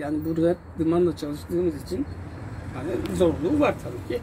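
At a moderate pace, a man speaks while light background noise is present. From Giresun, Turkey. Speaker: tinsmith craftsman. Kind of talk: casual interview answers. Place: workshop. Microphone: phone near.

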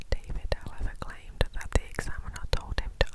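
At a moderate pace, a woman speaks in a whisper. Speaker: ASMR storyteller. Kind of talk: whispered true crime storytelling. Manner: whispered, soft. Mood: somber, gentle. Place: home room. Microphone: lapel.

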